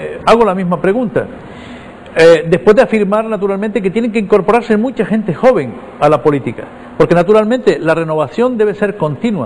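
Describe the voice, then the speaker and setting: A man speaks at a fairly quick pace in a high pitch, with lively intonation. Noticeable background noise is present. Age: 60s. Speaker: politician. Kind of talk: interview.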